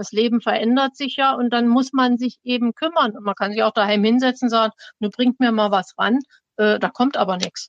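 A plain, everyday voice from a woman, fairly even in intonation, at a moderate pace, with a dry, close sound and no echo. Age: 60s. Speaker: retired teacher. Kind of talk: personal testimony.

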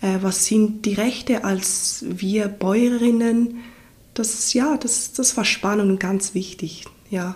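A woman speaks at a very slow pace with fairly even intonation. Her pitch is fairly high. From Ticino, southern Switzerland. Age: 30s. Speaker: farmer and doula. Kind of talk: interview. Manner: hesitant, repeats words.

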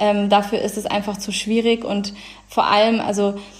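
Against noticeable background noise, a woman with a medium pitch speaks at a moderate pace. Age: 20s. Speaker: law graduate. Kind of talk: interview.

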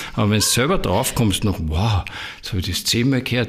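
His pitch moves in an ordinary way. The man's voice is somewhat breathy. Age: 60s. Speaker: spiritual teacher. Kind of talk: interview. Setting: in his own premises.

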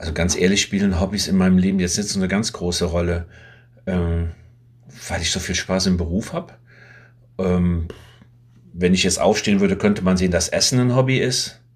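At a fairly quick pace but with long, frequent pauses, a man speaks in a very deep, low pitch with fairly even intonation. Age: 60s. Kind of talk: casual interview.

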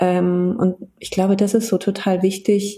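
A woman speaks at a fairly slow pace in a medium pitch, her tone dark and mellow and somewhat breathy. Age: 40s. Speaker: HR business partner and coach. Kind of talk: casual interview. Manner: hesitant, many fillers.

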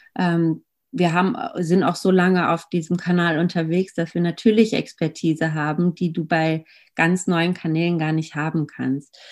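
An ordinary speaking voice from a woman, fairly low in pitch, with fairly even intonation at a moderate pace, on a very clean recording with a silent background. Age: 30s. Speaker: marketing agency co-founder. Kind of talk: interview.

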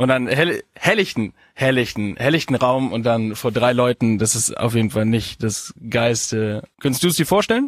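With a plain, everyday voice, a man speaks at medium pitch and a moderate pace with hardly any pauses. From Bavaria, Augsburg. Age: 20s. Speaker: stand-up comedian. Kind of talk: casual chat.

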